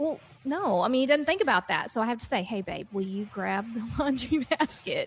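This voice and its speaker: A woman with an American accent speaks at a high pitch and a moderate pace. Her intonation is lively. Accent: Oklahoma accent, grows stronger as she talks. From Oklahoma. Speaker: talk show guest. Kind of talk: casual chat.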